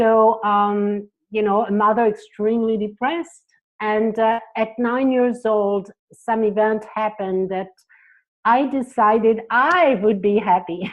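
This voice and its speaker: The speaker has a French accent and talks at a fairly slow pace with fairly even intonation. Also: woman, fairly high pitch for a woman. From France. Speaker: psychotherapist. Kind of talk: interview.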